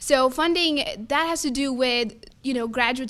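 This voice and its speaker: A loud woman's voice, high in pitch, with an American accent. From Texas (Fort Worth). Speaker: student government candidate. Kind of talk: debate answers. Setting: live-streamed forum in a room.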